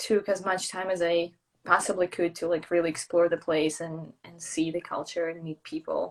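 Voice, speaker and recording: A woman speaks with a Russian accent at a moderate pace. Her intonation stays fairly even. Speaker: traveller and brand builder. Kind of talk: casual interview chat.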